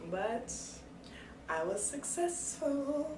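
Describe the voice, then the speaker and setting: The woman's voice sits fairly high and swings very widely in pitch. Noticeable background noise and audible room echo surround it. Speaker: hair care vlogger. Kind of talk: casual vlog talk. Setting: bathroom with door closed.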